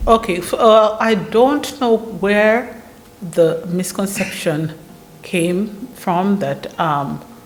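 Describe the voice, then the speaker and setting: With music in the background and audible room echo, a woman talks at a very slow pace and a medium pitch. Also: ordinary pitch variation. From Uganda. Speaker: lawyer. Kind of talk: explanatory chat.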